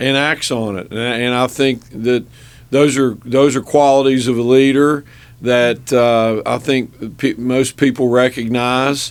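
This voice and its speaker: Monotone and flat, a man talks at a medium pitch. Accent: West Virginia. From southern West Virginia (Logan County). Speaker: business owner and state legislator. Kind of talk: radio interview. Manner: halting, many fillers and repeated words.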